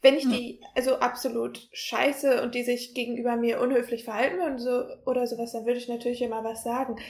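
Soft-spoken and flat in intonation, a woman with a high voice talks at a moderate pace in a monotone. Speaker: university student. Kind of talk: casual chat.

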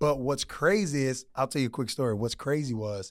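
A man's medium-pitched voice with an American accent and ordinary pitch variation, in a very clean recording with a silent background. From Houston, Texas. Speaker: high school football coach. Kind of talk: casual interview chat.

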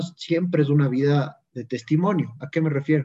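A man talks at a fairly quick pace in a fairly high, somewhat breathy voice. His tone is dark and mellow, with fairly even intonation. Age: 20s. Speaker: lay evangelizer. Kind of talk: casual chat.

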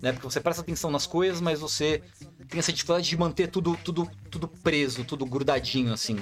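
A man's very fast speech, fairly high in pitch, with vocal fry and ordinary pitch variation. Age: 30s. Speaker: content creator. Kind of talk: casual chat.

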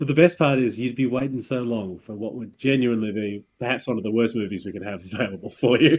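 A man's very fast delivery with hardly any pauses, big swings in loudness and ordinary pitch variation. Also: medium pitch for a man. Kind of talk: casual chat. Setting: video call.

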